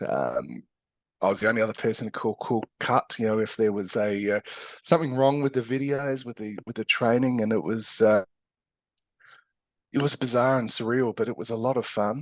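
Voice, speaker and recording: With an Australian accent, a man of medium pitch speaks at a moderate pace with ordinary pitch variation and long, frequent pauses, the sound dry and close with no echo against a quiet background. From Australia, Adelaide. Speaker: physiotherapist and educator. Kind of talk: interview. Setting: podcast. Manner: hesitant, many fillers.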